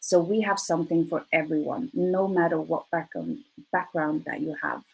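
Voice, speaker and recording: A woman with a fairly low pitch speaks with ordinary pitch variation. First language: Swedish. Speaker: recruiter. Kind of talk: presentation. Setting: live online presentation.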